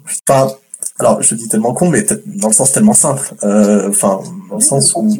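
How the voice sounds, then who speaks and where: A man speaks at a moderate pace. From France. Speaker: guest. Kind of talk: casual chat.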